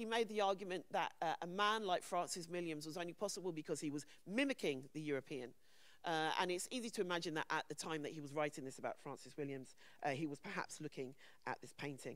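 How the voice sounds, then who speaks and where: Talking at a very fast pace, a woman with a London accent has a fairly low pitch and lively intonation. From England, London. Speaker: conference panel speaker. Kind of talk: conference talk.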